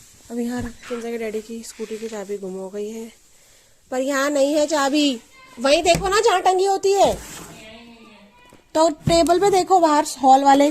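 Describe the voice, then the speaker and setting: With noticeable background noise, a woman speaks at a high pitch, using long, frequent pauses. Her pitch swings very widely and her loudness rises and falls in big swings. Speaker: family vlogger, mother. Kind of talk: casual home vlog narration. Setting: at home.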